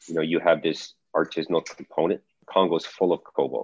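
A man speaks at a moderate pace in a very deep, low voice with flat, monotone intonation. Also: dry, close sound with no echo. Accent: Canadian. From Calgary, Alberta, Canada. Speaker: battery metals consultant. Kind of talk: interview conversation. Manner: halting, many repetitions and fillers.

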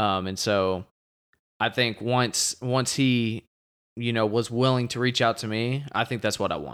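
A man with an American accent, a plain, everyday voice, medium pitch and a fairly slow pace. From Texas. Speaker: football coach. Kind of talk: casual chat.

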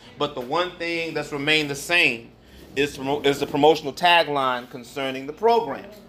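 Audible room echo surrounds a man talking at a fairly quick pace in a fairly high voice with ordinary pitch variation. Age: 50s. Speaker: pastor. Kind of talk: sermon.

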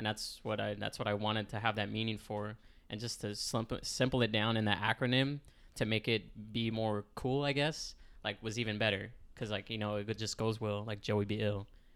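On a very clean recording with a silent background, a man speaks at a moderate pace in a fairly low voice with monotone, flat intonation. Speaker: guest, artist and small brand owner. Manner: casual, laughs often.

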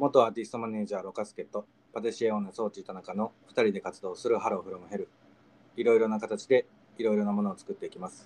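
Delivered at a very fast pace, a man's medium-pitched voice stays monotone and flat in intonation, with big swings in loudness and a dry, close sound with no echo. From Okayama, Japan. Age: 20s. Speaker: podcast host. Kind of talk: casual chat podcast. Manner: friendly, chatty, playful.

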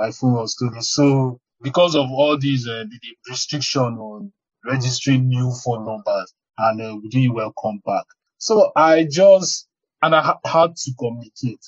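A man's somewhat breathy voice sits at a medium pitch with ordinary pitch variation. He moves at a moderate pace, with big swings in loudness. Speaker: data protection professional. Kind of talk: podcast interview.

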